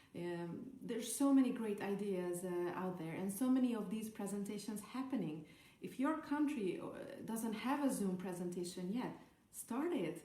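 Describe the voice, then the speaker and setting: A woman at medium pitch with a Hungarian accent, lively intonation and a moderate pace, amid audible room echo and noticeable background noise. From Hungary. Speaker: network marketer. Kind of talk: podcast talk, training advice. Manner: halting, many fillers.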